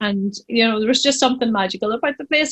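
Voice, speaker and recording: A woman speaks with a Northern Irish accent and ordinary pitch variation, her voice recorded dry and close with no echo. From Northern Ireland, County Tyrone. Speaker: pharmacist and business owner. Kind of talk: podcast interview.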